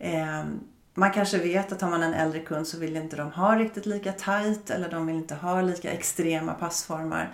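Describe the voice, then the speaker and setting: Over noticeable background noise, a woman speaks at a moderate pace in a fairly low pitch with fairly even intonation. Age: 50s. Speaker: fashion buyer. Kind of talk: casual interview.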